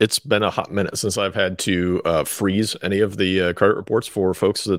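Fairly quick in pace, a man speaks with fairly even intonation. His voice sits fairly low. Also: dry, close sound with no echo, very clean recording, silent background. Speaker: financial advisor and co-host. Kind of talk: casual chat.

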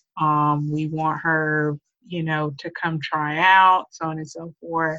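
Here a woman speaks at a very slow pace. Her pitch is very deep and low. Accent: Southern US. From US South, Memphis, Tennessee. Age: 30s. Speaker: stay-at-home wife sharing abuse survival story. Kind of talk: personal testimony in interview.

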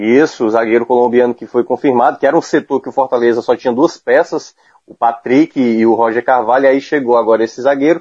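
Against a quiet background, a man with an ordinary speaking voice talks at a fairly quick pace in a medium pitch, with fairly even intonation, big swings in loudness, and a dry, close sound with no echo. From Ceará, Brazil. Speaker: football commentator. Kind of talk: casual chat. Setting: remote call.

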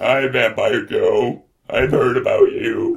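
A man performs a put-on character voice at an extremely high pitch. He delivers it at a fairly slow pace. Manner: earnest, flustered.

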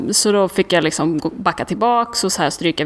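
A woman's voice with vocal fry, at a moderate pace. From Sweden, Karlstad. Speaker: outdoor adventurer and photographer. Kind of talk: interview. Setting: recorded on location.

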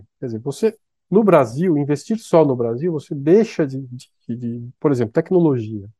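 A man speaks at a moderate pace with very wide pitch swings and a dark, mellow tone. The sound is dry and close, with no echo. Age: 50s. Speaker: economist and fund manager. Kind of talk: interview. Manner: halting, with many repetitions.

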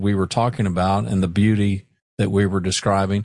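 Against a quiet background, a man with a fairly low pitch speaks at a moderate pace with fairly even intonation in a plain, everyday voice. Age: 60s. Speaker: podcast host. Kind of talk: solo podcast monologue.

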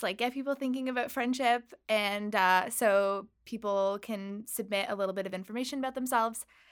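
A woman with a normal speaking voice talks at a moderate pace and fairly high pitch with ordinary pitch variation, in a very clean recording with a silent background. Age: young. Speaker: website founder. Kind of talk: interview. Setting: radio studio.

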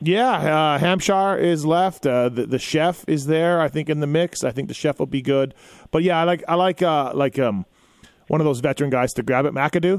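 An ordinary speaking voice moves at a moderate pace with ordinary pitch variation. Its loudness stays very even. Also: man, fairly high pitch for a man. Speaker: motocross podcast host. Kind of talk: live call-in show. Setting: studio.

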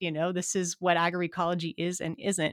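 An ordinary speaking voice, a woman's and fairly low, comes at a moderate pace in an American accent, on a very clean recording with a silent background and a dry, close sound with no echo. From Montana, US. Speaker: environmental studies professor and author. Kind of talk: interview conversation.

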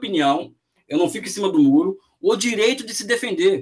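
A man speaks in an animated tone with an extremely high pitch. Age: 40s. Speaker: economics professor and author. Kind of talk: interview.

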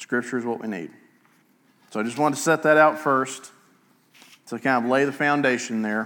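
This man's bright, sharp tone sits at a medium pitch with ordinary pitch variation, broken by long, frequent pauses. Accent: Alabama. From US South, Etowah County, Alabama. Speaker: pastor. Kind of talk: sermon. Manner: halting.

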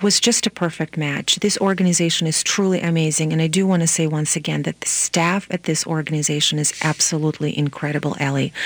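The recording is dry and close, with no echo. An Eastern European accent comes through with fairly even intonation. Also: woman. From Moldova. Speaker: nonprofit executive director and lawyer. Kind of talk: radio interview.

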